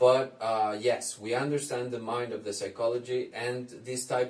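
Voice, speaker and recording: A man's somewhat breathy, medium-pitched voice with a Spanish accent, at a fairly slow pace. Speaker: psychologist. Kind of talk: commentary reacting to a video. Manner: halting.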